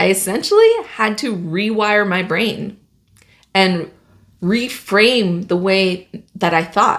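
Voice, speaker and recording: The woman speaks at a very slow pace. Her pitch is medium, with ordinary variation. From Latin America, grew up undocumented in the US. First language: Spanish. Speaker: engineer and project manager, career vlogger. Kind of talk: personal vlog monologue.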